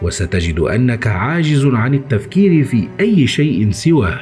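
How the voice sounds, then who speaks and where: A man's medium-pitched voice with an Egyptian accent, very wide pitch swings and a very slow pace, over background music. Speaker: horror story narrator. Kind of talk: horror story reading.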